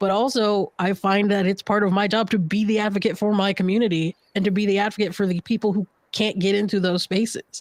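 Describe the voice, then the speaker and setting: A woman talks at a very fast pace, medium in pitch and very even in loudness. The sound is dry and close, with no echo. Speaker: podcast media company founder. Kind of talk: panel discussion. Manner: casual, animated.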